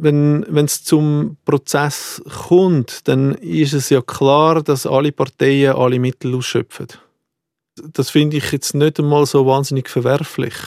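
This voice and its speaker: Recorded dry and close with no echo, a man speaks at a very slow pace. His pitch is fairly high and his intonation fairly even. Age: 40s. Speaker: heir in an inheritance dispute. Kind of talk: interview testimony. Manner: halting, repeats words.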